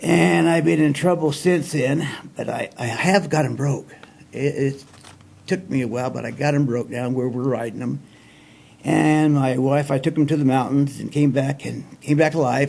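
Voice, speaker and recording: A man with an American accent and an unremarkable speaking voice, fairly high in pitch, with ordinary pitch variation at a moderate pace. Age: 60s. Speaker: show host telling life stories. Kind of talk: casual storytelling monologue. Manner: folksy, relaxed.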